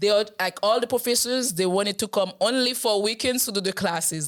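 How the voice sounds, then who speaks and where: A woman with a Haitian accent talks at a moderate pace and medium pitch. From Haiti, Port-au-Prince. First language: Haitian Creole. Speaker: program staff, interview guest. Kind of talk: podcast interview. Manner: halting, with many fillers.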